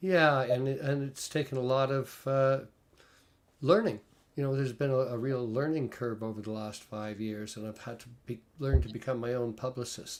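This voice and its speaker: A man speaks at a moderate pace and medium pitch with ordinary pitch variation. He has an ordinary speaking voice. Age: 60s. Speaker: singer-songwriter. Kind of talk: casual chat interview.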